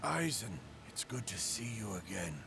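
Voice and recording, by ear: A man's cartoonish character voice, fairly low in pitch, at a moderate pace over clear background noise.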